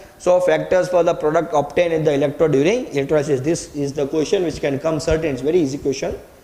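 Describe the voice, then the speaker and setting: A man talks at a very fast pace in a fairly high pitch. His intonation stays fairly even, and the room echo is audible. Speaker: chemistry teacher. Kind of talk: lecture.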